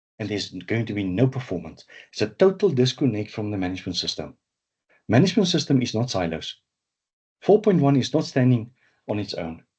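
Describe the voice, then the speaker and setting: A man at medium pitch speaks at a fairly quick pace with very wide pitch swings and a somewhat breathy sound. His speech has long, frequent pauses. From South Africa. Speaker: management systems trainer. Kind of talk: webinar lecture. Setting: webinar. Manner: animated, with repetitions and fillers.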